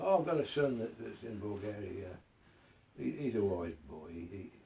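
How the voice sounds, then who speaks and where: A man with a fairly low pitch and a dark, mellow tone speaks at a moderate pace with vocal fry. His pitch swings very widely, and his loudness shifts in big swings. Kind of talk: interview answer.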